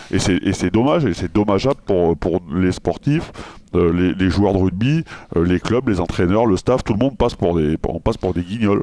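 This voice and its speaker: In a very clean recording with a silent background, a man speaks in a very deep, low voice with a dark, mellow tone. His loudness stays very even, his pitch varies in an ordinary way, and his pace is moderate. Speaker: former rugby player, radio consultant. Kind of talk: radio interview answer. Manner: irritated, frustrated.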